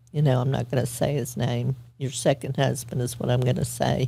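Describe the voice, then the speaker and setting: A woman with a dark, mellow tone and vocal fry talks at a moderate pace. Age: 60s. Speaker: abuse survivor and former nurse. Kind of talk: testimony. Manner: halting.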